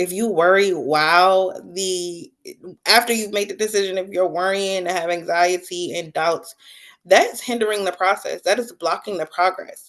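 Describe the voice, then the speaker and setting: A woman talks in a plain, everyday voice at medium pitch. Her pace is moderate and her intonation fairly even, with a quiet background. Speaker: book-talk livestream host. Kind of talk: casual livestream monologue. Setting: live stream with chat.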